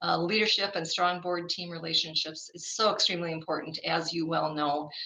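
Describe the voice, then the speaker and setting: The woman's delivery is monotone, with flat intonation. Noticeable background noise runs underneath. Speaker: workshop presenter, school board consultant. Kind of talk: workshop presentation. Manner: fast.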